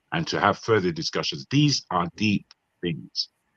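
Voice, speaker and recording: The man speaks with a British accent and a bright, sharp tone. His pitch swings are very wide. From Nigeria. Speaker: panelist on a marathon online talk show. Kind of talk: casual group discussion. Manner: animated.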